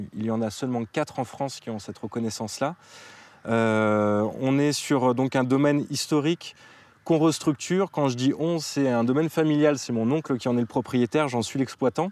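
This is a plain, everyday voice, a man's at medium pitch. He talks at a moderate pace with ordinary pitch variation. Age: 30s. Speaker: winery operations manager. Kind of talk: casual interview. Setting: on location at a wine estate, vineyard and cellar.

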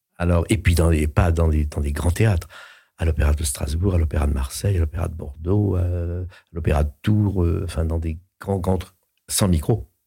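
With a very deep, low pitch, a man speaks at a moderate pace in a somewhat breathy, dark, mellow tone with fairly even intonation, in a very clean recording with a silent background. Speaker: voice actor and opera singer. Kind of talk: casual chat. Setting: studio. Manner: halting, repeats words.

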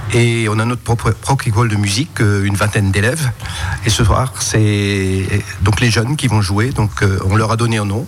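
A man speaks at a moderate pace with a fairly low pitch and fairly even intonation. His loudness stays very even over noticeable background noise. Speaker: leader of a music society with a youth orchestra. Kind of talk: radio interview.

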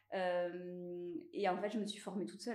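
A woman speaks at medium pitch and a fairly slow pace, with audible room echo. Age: 30s. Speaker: clothing brand founder, former estate agent. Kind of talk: casual interview. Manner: halting, many hesitations and repetitions.

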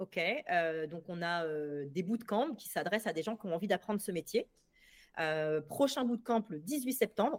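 A woman with a plain, everyday voice, medium pitch, lively intonation, and a fairly slow pace. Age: 40s. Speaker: sales coach. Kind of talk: casual chat.

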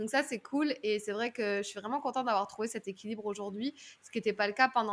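Using a normal speaking voice, a woman talks at a fairly quick pace with fairly high pitch and fairly even intonation. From southern France. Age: 30s. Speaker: public speaking coach. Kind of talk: podcast interview.

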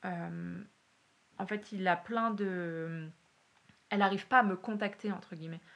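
This woman's voice sits at a medium pitch with fairly even intonation. She takes long pauses, and often. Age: 30s. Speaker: university lecturer and PhD student. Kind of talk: testimony. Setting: at the host's home. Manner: hesitant, many fillers.

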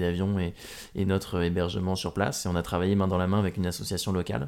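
At a fairly quick pace comes a plain, everyday voice. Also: man. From Normandy, France. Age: 20s. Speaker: adventurer and speaker. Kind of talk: interview, casual chat.

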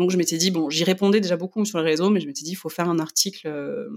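A woman with an ordinary speaking voice, a fairly low pitch, fairly even intonation, and a dry, close sound with no echo. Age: 30s. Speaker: magazine editor and blogger. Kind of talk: casual interview.

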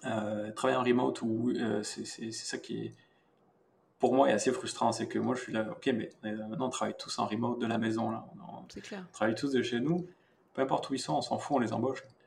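A man at a moderate pace, broken by long, frequent pauses. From southern France, rural. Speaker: VFX artist. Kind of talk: casual interview.

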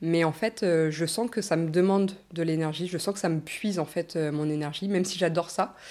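A woman's fairly low, dark, mellow voice at a moderate pace, with fairly even intonation, on a very clean recording with a silent background. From Normandy, France. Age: 20s. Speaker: naturopath. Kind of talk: casual interview. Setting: studio.

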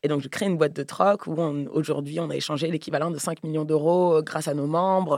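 A woman with a very deep, low pitch speaks at a fairly quick pace. She has hardly any pauses and her intonation is fairly even. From Paris, France. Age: 30s. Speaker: podcaster and entrepreneur. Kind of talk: casual chat.

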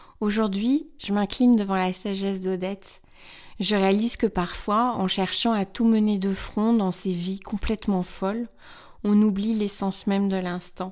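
A woman's normal speaking voice, fairly slow and fairly even in intonation, on a very clean recording with a silent background. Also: medium pitch for a woman. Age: 40s. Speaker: blogger and podcast host. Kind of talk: scripted narration.

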